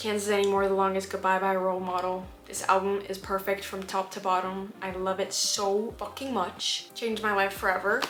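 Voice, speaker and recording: Over noticeable background noise, a woman with a non-native accent speaks at a fairly quick pace and medium pitch with hardly any pauses. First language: not English. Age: 20s. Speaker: vlogger. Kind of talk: casual chat. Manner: animated.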